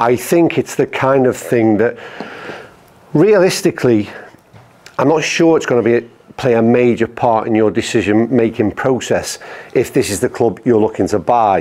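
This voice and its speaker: There is noticeable background noise behind a man with a medium-pitched voice. He leaves long, frequent pauses. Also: ordinary pitch variation, moderate pace. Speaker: golf YouTuber reviewing clubs. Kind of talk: product review. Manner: informal, conversational.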